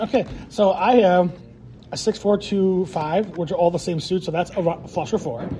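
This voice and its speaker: A man's high-pitched voice, animated in tone, at a moderate pace with ordinary pitch variation. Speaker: podcast co-host. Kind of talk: casual chat. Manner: animated, jokey.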